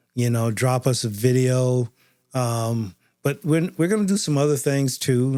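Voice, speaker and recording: A man's dark, mellow tone at a very slow pace. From US. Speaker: podcast co-host. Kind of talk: casual chat.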